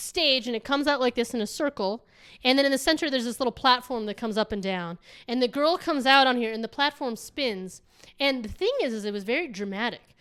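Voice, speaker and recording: In a very clean recording with a silent background, a woman speaks loudly and at a very fast pace in a high voice. Her tone is animated and her intonation lively. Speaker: guest recounting travels. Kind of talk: casual chat.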